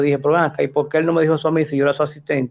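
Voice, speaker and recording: The man speaks at a fairly high pitch with monotone, flat intonation. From Dominican Republic, Santo Domingo Norte (raised from age 7). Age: 40s. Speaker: rescue worker. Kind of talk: casual chat.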